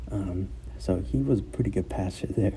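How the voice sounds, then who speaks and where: A man's dark, mellow tone with vocal fry and audible room echo. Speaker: sports commentator YouTuber. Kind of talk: casual sports breakdown. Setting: school room during conference period. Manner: hesitant, many fillers.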